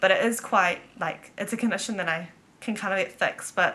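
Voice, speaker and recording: With a New Zealand accent, a woman talks at a moderate pace in a bright, sharp tone and fairly even intonation. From New Zealand, Auckland. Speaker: vlogger. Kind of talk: casual chat. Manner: casual, filler-heavy.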